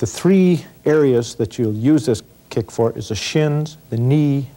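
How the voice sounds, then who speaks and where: Ordinary pitch variation marks this man's dark, mellow tone. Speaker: self-defense instructor. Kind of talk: tutorial. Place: studio. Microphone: lapel.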